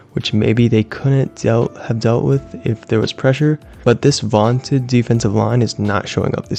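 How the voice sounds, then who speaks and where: Lively intonation carries the voice at a moderate pace with hardly any pauses, while music plays in the background. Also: man. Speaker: sports commentator. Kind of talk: monologue recap. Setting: at home, late at night.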